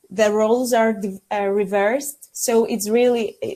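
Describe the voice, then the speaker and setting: At a moderate pace, a woman talks in a Greek accent. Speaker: pharmacy student mentee. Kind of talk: podcast interview. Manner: halting.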